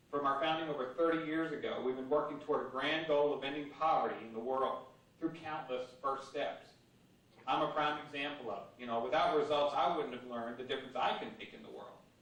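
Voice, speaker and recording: Over noticeable background noise and audible room echo, a man talks at a fairly quick pace. His fairly high voice has fairly even intonation but big swings in loudness. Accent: American. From US South, Virginia. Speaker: anti-poverty advocate. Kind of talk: speech.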